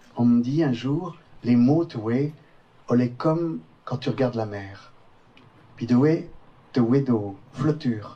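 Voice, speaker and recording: The speaker is a man with a medium pitch and ordinary pitch variation. He talks at a very slow pace with long, frequent pauses. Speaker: storyteller. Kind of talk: storytelling narration.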